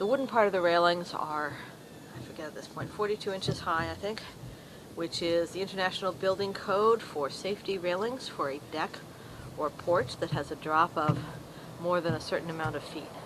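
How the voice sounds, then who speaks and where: A woman's unremarkable speaking voice, fairly low in pitch and fairly quick, with ordinary pitch variation. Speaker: amateur treehouse builder. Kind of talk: casual video walkthrough narration.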